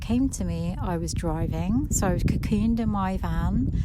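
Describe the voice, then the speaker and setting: Noticeable background noise can be heard as a woman talks. The room adds an audible echo. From England, Suffolk. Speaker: nature podcast host. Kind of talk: walking meditation monologue. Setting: outdoors on a walk. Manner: quiet and slow; hesitant, many fillers.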